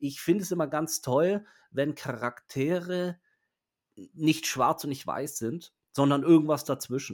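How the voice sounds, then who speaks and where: Captured on a very clean recording with a silent background, a man with a fairly high pitch and ordinary pitch variation speaks fairly slowly, with long, frequent pauses. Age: 40s. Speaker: podcast host. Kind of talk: casual chat. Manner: halting.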